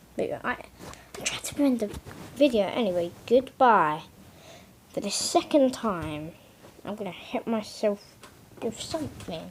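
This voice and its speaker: With noticeable background noise, a woman with a fairly high pitch speaks in very wide pitch swings, leaving long, frequent pauses. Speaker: mapping video creator. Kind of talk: casual commentary over map scenario. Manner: halting, repetitive filler.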